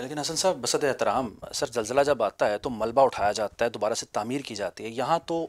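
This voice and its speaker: A man talks at a moderate pace with hardly any pauses and ordinary pitch variation. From Pakistan. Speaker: TV talk show host. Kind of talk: political TV interview. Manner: formal. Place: home room. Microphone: lapel.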